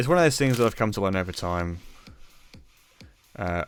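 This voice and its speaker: Background music under a man's voice, fairly low in pitch. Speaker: streamer. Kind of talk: casual chat. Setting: live stream. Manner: fast; hesitant.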